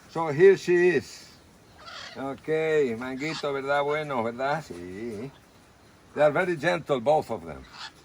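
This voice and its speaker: A man with a Spanish accent talks at a moderate pace and a fairly high pitch. Background noise is noticeable. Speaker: animal rescue worker. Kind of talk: casual video tour. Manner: halting.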